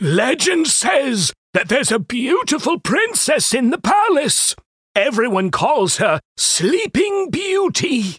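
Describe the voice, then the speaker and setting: An extremely high-pitched male voice with very wide pitch swings, very even loudness and a very slow pace, in a dry, close sound with no echo. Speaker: character voice in story. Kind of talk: fairy-tale dialogue, acted.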